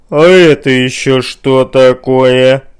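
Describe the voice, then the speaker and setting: A man's put-on character voice, menacing and creaky, medium in pitch, fairly slow and fairly even in intonation. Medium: read story. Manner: menacing, repetitive.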